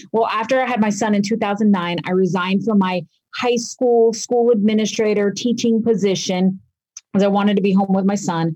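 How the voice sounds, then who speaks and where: Her tone dark and mellow, a woman speaks somewhat breathily at a fairly quick pace, with fairly even intonation and very even loudness. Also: medium pitch for a woman. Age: 40s. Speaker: professor and author. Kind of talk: casual interview.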